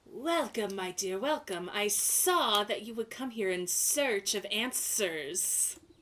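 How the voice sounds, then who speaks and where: Someone performs a hissing, put-on character voice at a fairly slow pace. There are hardly any pauses. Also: female-sounding voice, medium pitch for a woman. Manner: welcoming, mystical.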